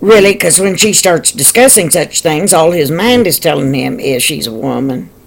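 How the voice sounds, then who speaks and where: Very wide pitch swings at a moderate pace, with hardly any pauses. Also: woman, fairly low pitch for a woman. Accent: American. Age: 60s. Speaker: video blogger. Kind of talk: casual monologue commentary. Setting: at home in living room.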